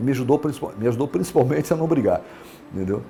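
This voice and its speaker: The man speaks with lively intonation. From Minas Gerais, Brazil (Lavras), raised in Brasília from 12. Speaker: businessman, city pioneer. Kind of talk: oral history testimony. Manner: halting, many fillers and restarts.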